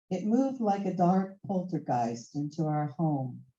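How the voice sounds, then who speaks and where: A woman speaks at a fairly slow pace in a fairly low, somewhat breathy voice with a dark, mellow tone. Her pitch swings very widely. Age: 70s. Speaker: open mic poet. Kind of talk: casual chat; poetry reading.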